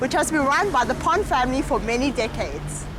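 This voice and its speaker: A woman talking at a fairly quick pace, with audible room echo and noticeable background noise. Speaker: student presenter. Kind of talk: scripted narration.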